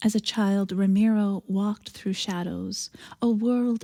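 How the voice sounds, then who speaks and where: With a fairly slow pace and fairly even intonation, a woman speaks at medium pitch in a somewhat breathy voice on a very clean recording with a silent background. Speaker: minister giving a sermon. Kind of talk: sermon liturgical prayer and reflection.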